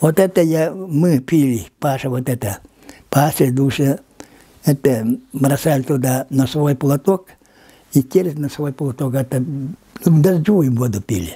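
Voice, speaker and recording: This man's voice is fairly high in pitch, with a dark, mellow tone and a somewhat breathy quality, and he talks at a fairly slow pace with long, frequent pauses and ordinary pitch variation. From Yakutia, Lower Kolyma. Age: 80s+. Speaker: linguist. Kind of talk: interview. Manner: halting.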